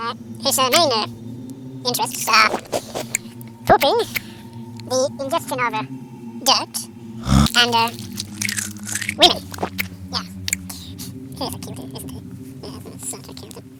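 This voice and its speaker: In a put-on character voice that sounds female, the speaker goes at a moderate pace with big swings in loudness and long, frequent pauses, all over clear background noise. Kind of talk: comic overacting. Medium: solo performance. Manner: pompous, hesitant, rambling.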